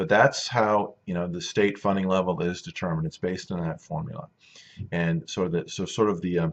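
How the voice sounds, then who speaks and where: This man's voice is very deep and low. He talks at a fairly quick pace with ordinary pitch variation. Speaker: school superintendent. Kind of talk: informational video update. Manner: fast; halting, many fillers.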